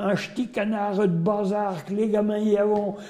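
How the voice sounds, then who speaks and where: A man speaks with a Berry accent in a high voice. Noticeable background noise sits behind him. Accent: Berrichon. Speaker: storyteller. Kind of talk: folk tale told in regional dialect.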